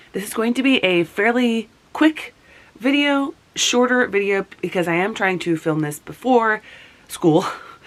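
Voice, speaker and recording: A woman speaks fairly slowly with lively intonation and a fairly high pitch. Noticeable background noise runs underneath. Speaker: book reviewer. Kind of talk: casual talk to camera.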